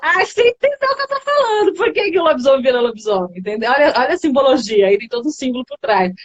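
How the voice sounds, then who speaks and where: A woman at a high pitch, in a dry, close sound with no echo. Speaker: communication coach. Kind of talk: live stream conversation. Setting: online live stream.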